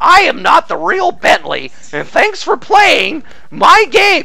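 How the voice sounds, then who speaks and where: In a put-on character voice, a man talks at a fairly slow pace. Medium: game stream.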